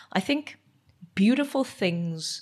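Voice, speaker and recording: Somewhat breathy, a woman speaks at medium pitch with very wide pitch swings. The background is quiet. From South Africa, Eastern Cape. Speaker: medical doctor, podcast co-host. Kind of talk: casual chat.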